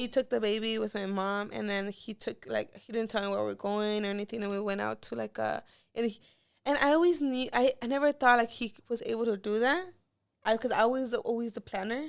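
On a very clean recording with a silent background, a woman with an American accent speaks at a fairly quick pace and a fairly high pitch, with ordinary pitch variation in a plain, everyday voice. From Los Angeles. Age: 20s. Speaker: YouTuber. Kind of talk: casual chat.

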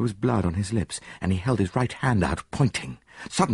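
Someone reads the text aloud in a plain way.

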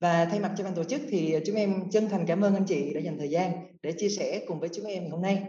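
A high-pitched male voice with a dark, mellow tone at a fairly quick pace. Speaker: podcast host. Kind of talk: casual panel discussion.

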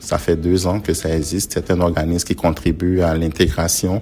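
A man speaks with a very deep, low pitch at a moderate pace. Music plays in the background. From Ivory Coast, Abidjan. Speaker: community organization founder. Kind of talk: interview.

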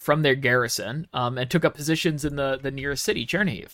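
A man with an American accent in a normal speaking voice, medium in pitch and fairly even in intonation, on a very clean recording with a silent background. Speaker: podcast host. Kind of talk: casual chat.

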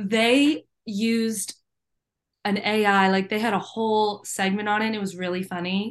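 Against a quiet background, a woman with an American accent talks in an unremarkable speaking voice at a medium pitch, fairly slow and with fairly even intonation. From Virginia, US. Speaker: independent musician. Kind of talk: casual interview. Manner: casual, filler-heavy.

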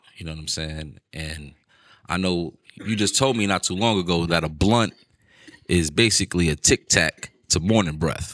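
This man has a very deep, low pitch and a New York accent, with ordinary pitch variation. He speaks at a moderate pace over a quiet background. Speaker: podcast host. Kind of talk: casual chat.

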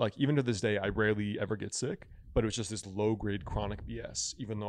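A man's fairly low voice with vocal fry and an American accent, delivered at a very fast pace. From Connecticut, Stamford area. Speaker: traditional Chinese medicine doctor and author. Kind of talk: casual chat.

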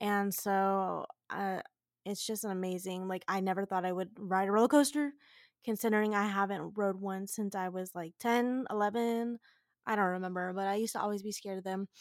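Over a very clean recording with a silent background, a woman speaks in a normal speaking voice. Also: medium pitch for a woman, fairly even intonation. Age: 20s. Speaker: podcast host. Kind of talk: casual solo monologue.

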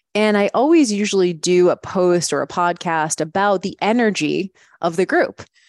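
A woman's normal speaking voice, medium in pitch with ordinary pitch variation, at a moderate pace, dry and close with no echo against a quiet background. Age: 40s. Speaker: fitness coach and podcast host. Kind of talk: casual chat.

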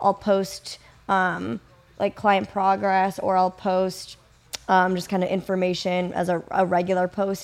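A woman with a plain, everyday voice speaks at a fairly slow pace, her medium pitch held in fairly even intonation. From US Midwest, Kenosha, Wisconsin. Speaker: physical therapist and online fitness coach. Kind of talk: casual interview chat.

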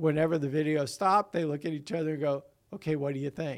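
A man's normal speaking voice at a fairly high pitch with ordinary pitch variation, in a very clean recording with a silent background. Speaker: lead pastor. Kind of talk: casual chat.

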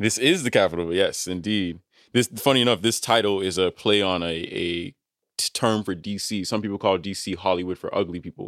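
Talking at a fairly quick pace, the speaker has a normal speaking voice with an American accent and ordinary pitch variation. Everything is captured on a very clean recording against a silent background. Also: man, fairly low pitch for a man. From US, Nigerian parents. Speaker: data annotator and musician. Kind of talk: casual chat.

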